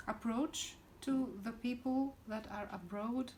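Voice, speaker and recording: A woman speaks with a Greek accent at a very slow pace. Her voice is somewhat breathy. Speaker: spiritual teacher. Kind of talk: direct-to-camera talk. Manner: hesitant, many fillers.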